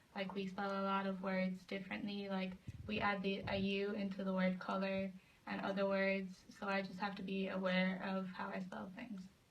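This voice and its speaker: Amid noticeable background noise and audible room echo, a woman speaks at a moderate pace and medium pitch in a monotone, flat intonation. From Ireland. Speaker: student athlete. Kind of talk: interview.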